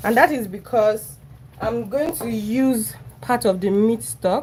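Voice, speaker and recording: This woman talks at a very slow pace with a fairly high pitch. Her intonation is lively, and vocal fry shows through. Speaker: cooking livestreamer. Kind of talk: live cooking stream, casual chat. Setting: home kitchen. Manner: chatty.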